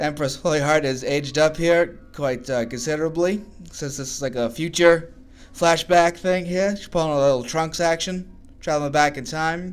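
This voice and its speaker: At a moderate pace, a man with a Massachusetts accent talks in a fairly high pitch with ordinary pitch variation. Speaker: artwork reviewer, video creator. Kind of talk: casual video review commentary. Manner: casual, rambling; halting, frequent stuttered repeats.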